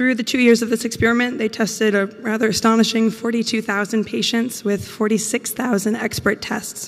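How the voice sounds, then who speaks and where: Fairly quick speech from a woman with fairly high pitch and fairly even intonation, over noticeable background noise. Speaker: PhD student presenting research. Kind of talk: conference talk.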